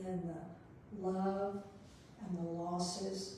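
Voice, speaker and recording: A woman with a warm tone speaks at a medium pitch in a monotone, flat intonation, with noticeable background noise and audible room echo. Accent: Texan. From West Texas. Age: 70s. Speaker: guest speaker at a church. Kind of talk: sermon. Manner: warm, conversational.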